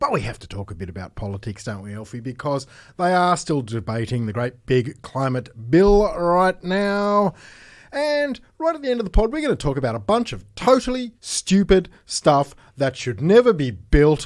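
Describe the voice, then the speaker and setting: In an Australian accent, a man speaks at a moderate pace with fairly high pitch and very wide pitch swings. His loudness swings widely, on a very clean recording with a silent background. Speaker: podcast host. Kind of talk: casual chat.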